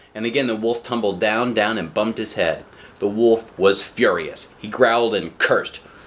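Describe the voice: What you hear here is plain reading aloud.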